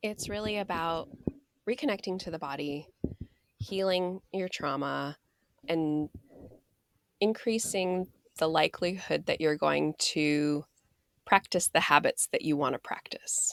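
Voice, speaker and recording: Speaking at a fairly slow pace with a fairly low pitch, a woman uses ordinary pitch variation and takes long, frequent pauses. The sound is dry and close, with no echo. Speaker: mindfulness and weight coach. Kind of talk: casual chat. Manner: deliberately slowed speech.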